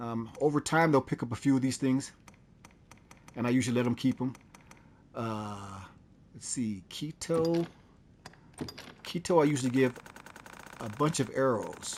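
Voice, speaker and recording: Noticeable background noise runs through the clip. The speaker takes long, frequent pauses. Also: moderate pace. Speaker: gaming channel host. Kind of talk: casual gameplay commentary.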